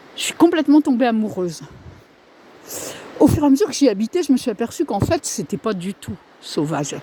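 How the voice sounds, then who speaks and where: Over noticeable background noise, a woman talks at a fairly quick pace with a fairly high pitch, very wide pitch swings, and long, frequent pauses, in a dry, close sound with no echo. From northern France. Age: 60s. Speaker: vlogger. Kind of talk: casual vlog monologue. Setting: outdoors on a walk. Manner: halting.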